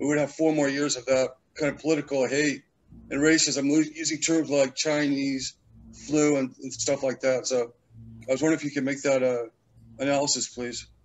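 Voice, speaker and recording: Pitched fairly high, a man speaks at a moderate pace in a monotone, flat way. Long, frequent pauses break up his speech. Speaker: audience member asking a question; audience member. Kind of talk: Q&A question. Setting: video call. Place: home room. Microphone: video call.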